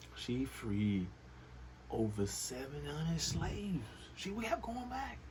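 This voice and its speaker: With long, frequent pauses, a man speaks very slowly amid audible room echo and noticeable background noise. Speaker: comedian. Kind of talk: comedic monologue. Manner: animated; whispering.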